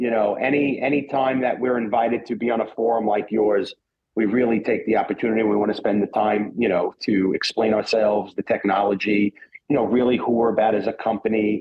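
Fairly quick pace, fairly even intonation and a slightly husky edge. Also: man, fairly low pitch for a man.

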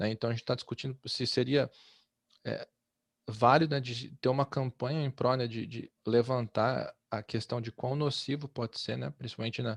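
A normal speaking voice moves at a moderate pace with fairly even intonation. The recording is very clean, with a silent background and a dry, close sound with no echo. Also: man, medium pitch for a man. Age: 30s. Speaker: podcast host. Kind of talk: casual discussion.

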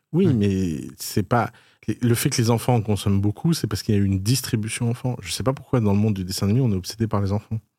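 On a very clean recording with a silent background, a man with a fairly low pitch and a dark, mellow tone talks at a very fast pace with ordinary pitch variation. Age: 30s. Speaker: podcast host and entrepreneur. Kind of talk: casual chat.

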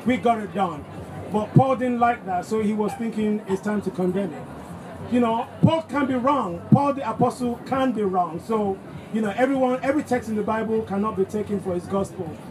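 Speaking at a moderate pace, a man with a high voice uses ordinary pitch variation against noticeable background noise. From Nigeria. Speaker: pastor. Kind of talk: talk.

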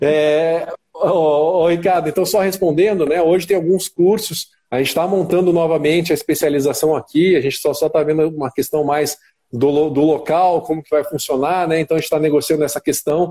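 Fairly high in pitch, a man speaks at a fairly quick pace with a dark, mellow tone and fairly even intonation. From Curitiba, southern Brazil. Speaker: sports dentist. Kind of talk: live-stream interview.

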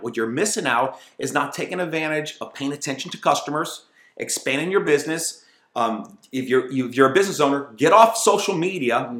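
Animated and lively in intonation, a man speaks at a fairly quick pace. His pitch sits fairly high. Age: 50s. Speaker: entrepreneur. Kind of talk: interview.

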